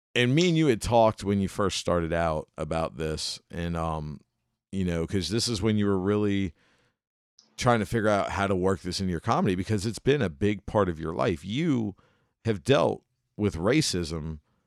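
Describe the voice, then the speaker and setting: A plain, everyday voice speaks at a moderate pace with lively intonation, in a dry, close sound with no echo on a very clean recording with a silent background. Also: man, fairly low pitch for a man. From Cincinnati, Ohio. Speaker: podcast host and comedian. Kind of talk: casual interview chat.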